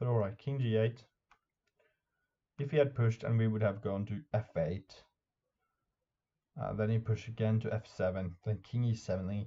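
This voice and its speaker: A man with a Norwegian accent speaks at a moderate pace and a fairly low pitch, somewhat breathy, with fairly even intonation and long, frequent pauses. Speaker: chess YouTuber and streamer. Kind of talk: tutorial. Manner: halting.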